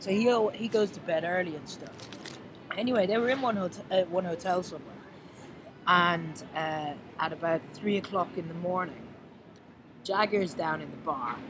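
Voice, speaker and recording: Long, frequent pauses break up speech delivered with an Irish accent. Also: moderate pace. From Ireland. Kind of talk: casual chat. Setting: outdoors.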